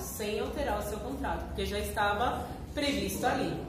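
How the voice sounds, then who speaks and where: Noticeable background noise around a speaking woman. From Brazil, São Paulo north zone. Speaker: law lecturer. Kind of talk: lecture. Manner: casual, hesitant fillers.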